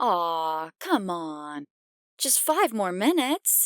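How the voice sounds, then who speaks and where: On a very clean recording with a silent background, a female-sounding, put-on character voice speaks at medium pitch and a very slow pace in a whiny way. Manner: jocular, pleading.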